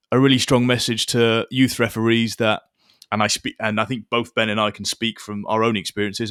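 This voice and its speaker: Delivered very fast in a flat monotone with a Wiltshire accent, the voice is dry and close with no echo on a very clean recording with a silent background. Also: man. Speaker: podcast host and referee. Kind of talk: podcast interview.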